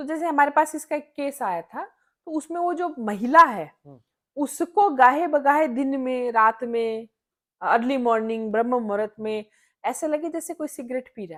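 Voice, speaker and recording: This woman's voice sits high in pitch on a very clean recording with a silent background. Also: lively intonation. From Jaipur, India. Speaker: astrologer and Sri Vidya practitioner, podcast guest. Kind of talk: podcast interview answer.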